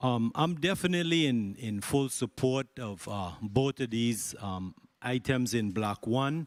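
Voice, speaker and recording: Fairly slow and with lively intonation, a man with a normal speaking voice at a medium pitch is heard on a very clean, dry, close recording with no echo and a silent background. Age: 60s. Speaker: senator. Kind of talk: legislative hearing questioning.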